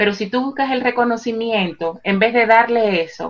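Here we have a woman. Her voice rises and falls an ordinary amount. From Dominican Republic, Santo Domingo. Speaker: psychologist and life coach. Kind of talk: interview. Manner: halting, with repetitions and fillers.

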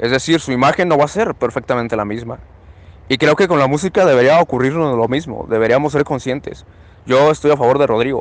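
The speaker is a man with a fairly high pitch. He talks at a very fast pace, with ordinary pitch variation. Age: 20s. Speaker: podcast host. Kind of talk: casual discussion.

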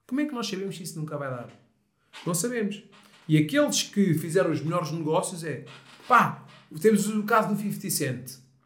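A man with a high pitch speaks at a moderate pace with lively intonation, big swings in loudness and long, frequent pauses, amid audible room echo. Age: 30s. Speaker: mental coach. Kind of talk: casual chat.

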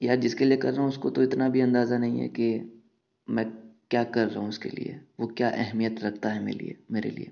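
A man at a medium pitch and moderate pace, with fairly even intonation. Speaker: podcaster. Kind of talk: casual monologue on love. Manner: casual and unscripted, with hesitations.

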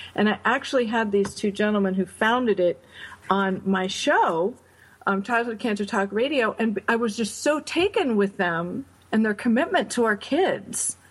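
A woman with a fairly high pitch and a somewhat breathy voice keeps her loudness very even at a moderate pace. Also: ordinary pitch variation. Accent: American. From upstate New York. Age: 40s. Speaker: charity founder, bereaved mother. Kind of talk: interview.

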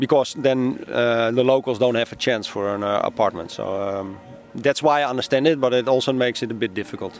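With a Dutch accent, a man speaks at a fairly quick pace and a medium pitch with ordinary pitch variation, over noticeable background noise. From Netherlands, Amsterdam. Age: 40s. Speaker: newspaper publisher and landlord. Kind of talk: casual interview. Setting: outdoors on a public bench. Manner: hesitant, many fillers.

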